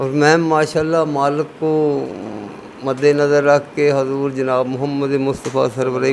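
Over light background noise, a man with a fairly high voice talks in a monotone, flat intonation. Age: 70s. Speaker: cycling traveller; interviewee. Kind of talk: interview storytelling. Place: street. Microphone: handheld.

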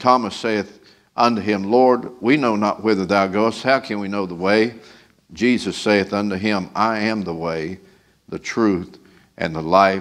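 This man's voice sits fairly low and moves at a fairly slow pace. The intonation stays fairly even against a quiet background. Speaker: preacher. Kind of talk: sermon scripture reading and prayer. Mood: solemn, reverent. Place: church. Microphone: podium.

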